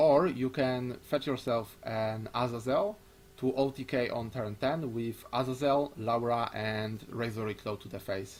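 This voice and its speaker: In a plain, everyday voice, a man talks at a medium pitch with ordinary pitch variation. His pace is fairly slow. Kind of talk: casual discussion.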